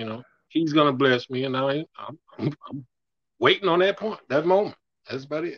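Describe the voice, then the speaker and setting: The sound is dry and close with no echo as a man speaks at a fairly high pitch and a moderate pace. His pitch varies in an ordinary way, while his loudness swings widely. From US South. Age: 50s. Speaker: caller on a dating call-in show. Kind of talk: casual chat. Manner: halting.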